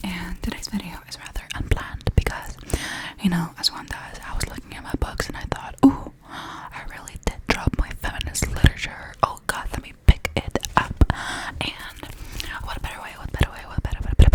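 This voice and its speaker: A woman whispering at a fairly quick pace, with big swings in loudness and noticeable background noise. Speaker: ASMR creator. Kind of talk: ASMR rambling and reading. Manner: whispered; repetitive, soft-spoken.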